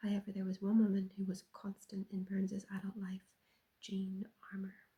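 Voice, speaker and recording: Soft-spoken, a woman talks at a moderate pace in a monotone, flat intonation. Her medium-pitched voice has a dark, mellow tone and is somewhat breathy. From Ireland. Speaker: ASMR creator. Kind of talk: ASMR soft-spoken chat.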